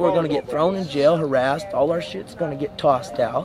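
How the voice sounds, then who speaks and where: A man talks very fast while noticeable background noise fills the recording. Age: 20s. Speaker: homeless person. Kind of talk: documentary interview.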